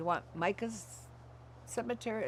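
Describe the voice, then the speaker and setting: A woman with an American accent speaks at a moderate pace, with vocal fry and very wide pitch swings. The recording is very clean, with a silent background. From California. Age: 70s. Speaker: former commune member. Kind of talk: oral history interview. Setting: at her home.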